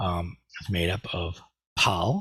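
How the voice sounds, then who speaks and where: Very clean recording, silent background, and a man speaking in an American accent. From US Midwest, Indiana. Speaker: Buddhist teacher. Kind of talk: lecture. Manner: halting, many fillers.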